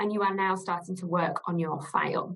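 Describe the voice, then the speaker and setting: At a moderate pace, a woman speaks with a slight northern English accent in a medium-pitched voice. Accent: slight northern English twang. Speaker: legal director, costs lawyer. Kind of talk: webinar presentation. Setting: webinar.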